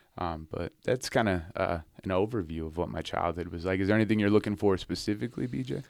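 A man with an American accent and a very deep, low pitch talks very fast with vocal fry. The recording is very clean, with a silent background. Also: ordinary pitch variation. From Montana, US. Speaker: war veteran, triple amputee. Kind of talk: interview storytelling. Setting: studio. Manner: casual, many fillers.

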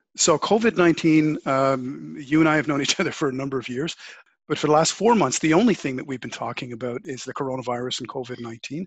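A man with a Canadian accent and an ordinary speaking voice, fairly high-pitched and fairly quick, with ordinary pitch variation and big swings in loudness. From Canada. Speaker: podcast host. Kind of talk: interview conversation. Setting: video call.

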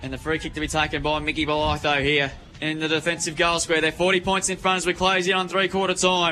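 Speaking at a fairly quick pace, a man with an Australian accent has a high pitch and monotone, flat intonation. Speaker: football commentator. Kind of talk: live commentary. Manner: fast.

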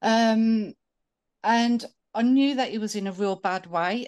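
The speaker has a British accent. The background is quiet. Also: woman. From United Kingdom. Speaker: caller. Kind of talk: casual call-in conversation. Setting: video call.

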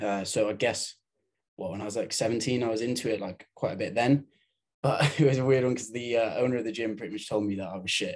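A man with a medium pitch speaks very fast, with ordinary pitch variation. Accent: British. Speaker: bodybuilder and fitness coach. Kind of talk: interview. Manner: hesitant, many fillers.

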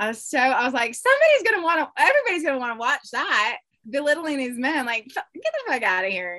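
A woman speaks at a very fast pace in a raised, projected voice, her high pitch swinging very widely in a bright, sharp tone. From Alaska. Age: 30s. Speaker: reality TV yacht crew member. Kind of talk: casual interview.

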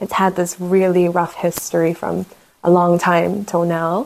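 A woman speaks at medium pitch with a New Zealand accent and a moderate pace. The recording is very clean, with a silent background. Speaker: fragrance brand founder. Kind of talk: casual interview.

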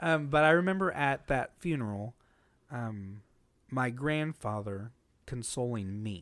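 A man with an unremarkable speaking voice talks at a medium pitch and a fairly slow pace. His intonation is lively, and the recording is very clean with a silent background. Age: 30s. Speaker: comedian. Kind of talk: casual chat.

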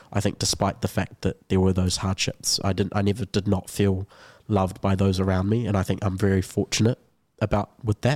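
A man with a New Zealand accent at a fairly quick pace, monotone and flat, very even in loudness, with a dry, close sound with no echo and a very clean recording on a silent background. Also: fairly low pitch for a man. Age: young. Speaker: university student. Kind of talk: casual chat. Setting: studio.

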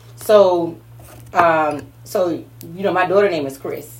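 A woman's fairly low voice at a very slow pace, ordinary pitch variation, audible room echo. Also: long, frequent pauses, big swings in loudness. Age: 40s. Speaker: motivational speaker and business owner. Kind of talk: casual chat.

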